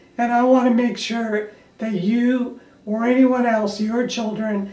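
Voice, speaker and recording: At a very slow pace, a woman speaks with a fairly high pitch and fairly even intonation, with music in the background and audible room echo. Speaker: parenting coach. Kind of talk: direct-to-camera talk. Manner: emotional.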